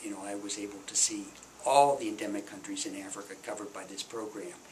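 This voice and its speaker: A man in an American accent speaks at a moderate pace with monotone, flat intonation, with noticeable background noise and audible room echo. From US Midwest. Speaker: retired development official. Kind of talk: oral history interview. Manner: halting, many fillers.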